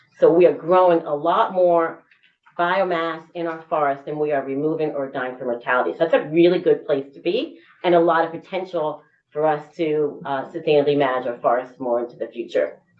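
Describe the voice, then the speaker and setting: A woman talks at a fairly quick pace. Her pitch is very deep and low, with ordinary variation. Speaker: state government official testifying. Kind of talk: committee testimony. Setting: legislative committee room. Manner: fast.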